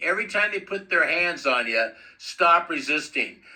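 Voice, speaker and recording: A man speaks at a fairly slow pace in a high pitch. His tone is bright, sharp and animated, with lively intonation. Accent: American. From US West, East Los Angeles. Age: 70s. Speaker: activist video commentator. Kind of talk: commentary over own footage.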